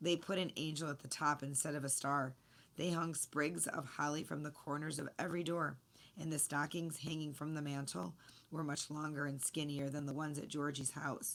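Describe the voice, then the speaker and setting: A woman's put-on character voice, raspy and very deep, low in pitch, with fairly even intonation at a moderate pace. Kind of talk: children's story reading. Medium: read story.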